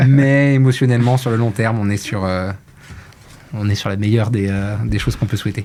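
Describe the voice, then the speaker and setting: A man's fairly low-pitched voice with fairly even intonation and long, frequent pauses, over noticeable background noise. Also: fairly quick pace. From Brittany, France. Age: 30s. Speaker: marketing executive. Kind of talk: casual interview.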